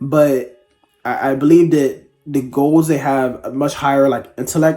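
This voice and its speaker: Over music in the background, a man speaks quietly at a medium pitch and a fairly slow pace. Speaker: book reviewer. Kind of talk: casual book review monologue. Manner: hesitant, many fillers.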